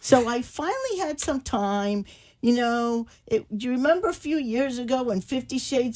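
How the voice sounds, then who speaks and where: A woman with an American accent talks at a moderate pace with ordinary pitch variation, recorded very cleanly against a silent background. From Cuba. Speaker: romance novelist. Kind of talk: talk show interview.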